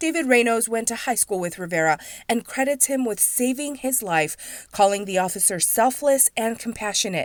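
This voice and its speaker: A woman's unremarkable speaking voice, fairly high in pitch and fairly quick in pace, on a very clean recording with a silent background. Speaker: TV news reporter. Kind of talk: TV news report.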